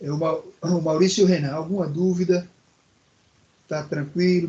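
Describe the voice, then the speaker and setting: Fairly quickly and in a monotone, flat way, a man speaks at a high pitch. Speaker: technical course teacher. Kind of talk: online class lecture. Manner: calm, clear pace.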